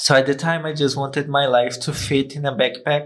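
A man with a Brazilian accent, fairly high in pitch, at a moderate pace. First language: Portuguese. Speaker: guest, YouTube content creator. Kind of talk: casual interview chat.

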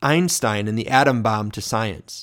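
Recorded very cleanly against a silent background, an ordinary speaking voice with an American accent carries lively intonation. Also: man. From Michigan, US (small village). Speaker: podcast host, ministry representative. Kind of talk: scripted narration of personal testimony.

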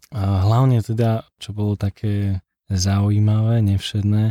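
A man talks fairly slowly in a fairly low, dark and mellow voice. The sound is dry and close with no echo, on a very clean recording with a silent background. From Slovakia, Liptov region. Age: 20s. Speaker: guest sharing faith testimony. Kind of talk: testimony. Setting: studio.

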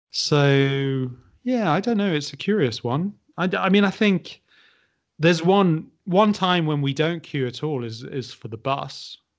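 Pitched fairly high, a man uses a normal speaking voice with lively intonation. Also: fairly slow pace. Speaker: podcaster. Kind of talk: casual chat.

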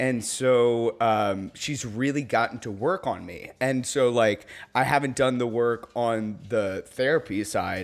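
A man with an ordinary speaking voice, medium-pitched with ordinary pitch variation, on a very clean recording with a silent background. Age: 30s. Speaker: DJ and business owner. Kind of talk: casual chat. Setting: at the host's house.

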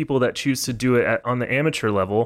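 In a very clean recording with a silent background, a man with a plain, everyday voice and an American accent talks at a fairly quick pace, at medium pitch, with fairly even intonation. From Texas. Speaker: trombonist and music professor. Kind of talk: casual interview chat.

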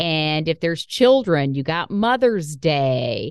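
The speech moves at a very slow pace with very wide pitch swings over a quiet background. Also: woman. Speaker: podcast host. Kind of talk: casual chat.

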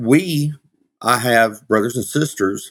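With a Southern US accent, a man talks at a medium pitch and a very slow pace. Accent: Southern US (Georgia). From US South, Georgia. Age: 50s. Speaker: minister and former pro wrestler. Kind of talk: casual interview. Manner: animated.

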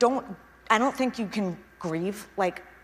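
Ordinary pitch variation marks this speech, which unfolds at a fairly slow pace. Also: woman. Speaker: founder presenting her venture. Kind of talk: public talk. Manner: shaky voice; halting.

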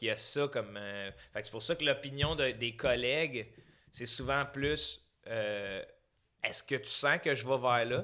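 Speaking in a Quebec accent, a man uses a medium pitch, ordinary pitch variation and a bright, sharp tone at a fairly slow pace with long, frequent pauses, in a very clean recording with a silent background. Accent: Québécois French. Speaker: comedian. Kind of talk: casual chat.

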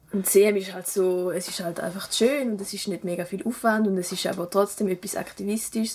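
A woman with a medium pitch talks at a fairly quick pace, hardly pausing, her intonation fairly even over noticeable background noise. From German-speaking Switzerland, rural village. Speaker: student and cycling activist. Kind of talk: interview.

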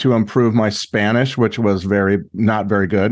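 Against a quiet background, a man with an American accent talks with fairly even intonation. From US West Coast, Los Angeles area. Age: 60s. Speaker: journalist and author. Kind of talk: interview conversation.

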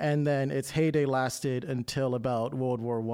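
With an American accent, a man speaks in an unremarkable speaking voice at a moderate pace, medium pitch and fairly even intonation. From Maryland, Baltimore County. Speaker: preservation advocate. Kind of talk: interview. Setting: studio.

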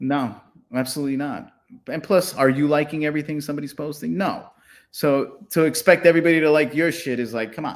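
On a very clean recording with a silent background, a man speaks at a very fast pace with a fairly high pitch and fairly even intonation. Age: 40s. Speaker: podcast co-host comedian. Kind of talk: casual chat.

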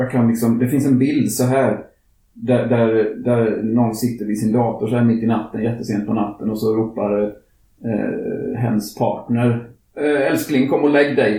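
A man's somewhat breathy, fairly slow speech with monotone, flat intonation and very even loudness, plus audible room echo. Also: medium pitch for a man. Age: 50s. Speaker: climate activist podcast host. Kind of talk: casual chat.

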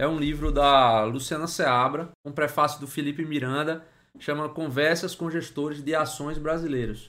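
A man with an unremarkable speaking voice, fairly high in pitch, at a moderate pace with hardly any pauses. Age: 30s. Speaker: investor and finance YouTuber. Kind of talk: tutorial.

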